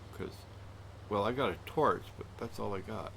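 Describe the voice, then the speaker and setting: Vocal fry marks a man's speech at a moderate pace. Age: old. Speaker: video game streamer. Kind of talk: casual live-stream gameplay commentary.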